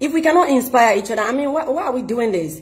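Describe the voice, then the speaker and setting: Against a quiet background, a woman talks at a high pitch. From Sierra Leone. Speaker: vlogger. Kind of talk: monologue vlog. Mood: frustrated, indignant. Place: home room. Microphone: phone near.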